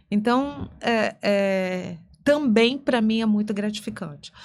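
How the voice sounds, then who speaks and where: A woman with an ordinary speaking voice, fairly high pitched and with lively intonation. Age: 60s. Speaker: lawyer and author. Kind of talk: podcast interview.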